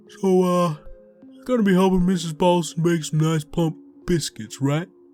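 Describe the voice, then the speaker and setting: Put-on character voice from a man, high-pitched, with big swings in loudness and faint music in the background. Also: moderate pace. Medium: read story. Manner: hesitant fillers as director, cold as owner.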